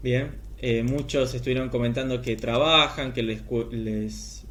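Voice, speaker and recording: The man speaks at a fairly slow pace. Audible room echo follows his words. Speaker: teacher training lecturer. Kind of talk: recorded online lecture. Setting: recorded video class.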